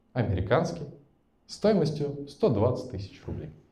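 Very slowly, a man with a medium-pitched voice speaks in a dark, mellow tone with vocal fry, his pitch swinging very widely. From Russia, Tatarstan (Naberezhnye Chelny). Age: 20s. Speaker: entrepreneur and podcast host. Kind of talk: personal life story told to a live audience. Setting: event with live audience. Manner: casual, improvised.

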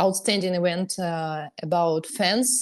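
A woman speaks with a Russian accent and fairly even intonation against a quiet background. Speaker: podcast host, tennis telegram channel author. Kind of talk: podcast chat.

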